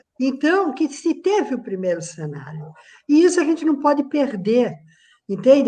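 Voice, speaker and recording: A woman talks at a fairly slow pace with a dark, mellow tone. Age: 60s. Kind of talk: video call panel discussion.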